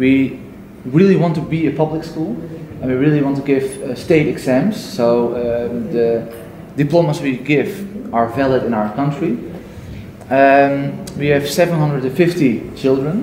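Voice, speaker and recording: A man speaks very slowly at a fairly high pitch with ordinary pitch variation. Light background noise and audible room echo are present. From Netherlands. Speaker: Montessori school staff, audience participant. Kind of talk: audience contribution in discussion. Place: hall. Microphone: camera far.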